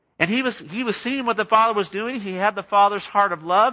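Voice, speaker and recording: In a raised, projected voice, a man with an American accent speaks at a fairly quick pace, his pitch high and his tone bright and sharp, over a quiet background. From Southern California, LA area. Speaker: pastor. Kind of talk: sermon.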